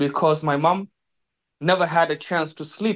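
A man's high-pitched voice with a South Sudanese accent, moderate in pace, ordinary pitch variation, and a quiet background. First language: Dinka. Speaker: former slave, survivor. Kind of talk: personal testimony. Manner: halting, many filler pauses.

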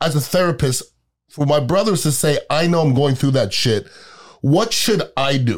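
Over a very clean recording with a silent background, a man with a fairly high pitch speaks in a plain, everyday voice, with lively intonation at a moderate pace. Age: 50s. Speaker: podcast host. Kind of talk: casual chat.

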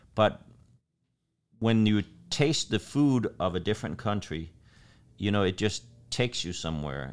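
In a very clean recording with a silent background, a man talks with a Danish accent. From Denmark. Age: 50s. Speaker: chef and restaurant owner. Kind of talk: casual interview conversation.

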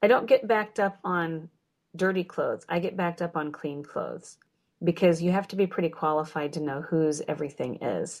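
Delivered at a fairly quick pace with ordinary pitch variation, an unremarkable speaking voice comes through in a very clean recording with a silent background. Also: woman, fairly low pitch for a woman. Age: 40s. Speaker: homeschooling mother. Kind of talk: casual chat.

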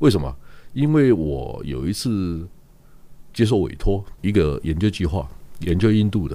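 A man with a very deep, low voice and a dark, mellow tone uses very wide pitch swings and vocal fry. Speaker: newspaper publisher. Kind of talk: casual chat.

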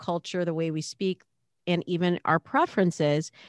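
An unremarkable speaking voice talks at a moderate pace. The sound is dry and close, with no echo. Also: woman. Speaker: dating coach. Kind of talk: interview.

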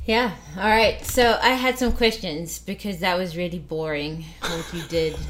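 Noticeable background noise fills the recording. A woman at a medium pitch speaks at a fairly slow pace with lively intonation. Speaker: poker player and podcast co-host. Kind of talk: casual chat. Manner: playful.

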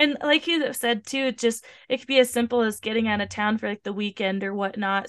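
In a normal speaking voice, a woman at a medium pitch talks at a fairly quick pace, with a dry, close sound with no echo and a quiet background. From US Pacific Northwest (Tacoma, Washington). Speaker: podcast host and fitness trainer. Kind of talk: casual interview.

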